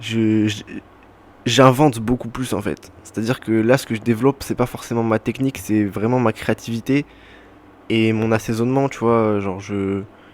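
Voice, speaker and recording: A man at a medium pitch and moderate pace, with fairly even intonation. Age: 20s. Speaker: podcaster, former cook. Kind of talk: casual monologue podcast. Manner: hesitant, many fillers.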